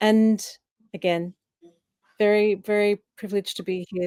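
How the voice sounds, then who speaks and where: With an Australian accent, a woman speaks with fairly even intonation in a dry, close sound with no echo. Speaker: coach. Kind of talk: panel discussion. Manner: halting.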